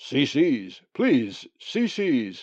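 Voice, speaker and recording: A man uses a croaky, put-on character voice. His pitch is fairly high. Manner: urgent, authoritative.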